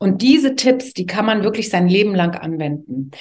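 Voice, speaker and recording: Noticeable background noise accompanies a woman's voice. She speaks at a medium pitch and a moderate pace. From East Germany, Leipzig. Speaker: TV presenter and communication coach. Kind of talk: casual interview. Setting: garden.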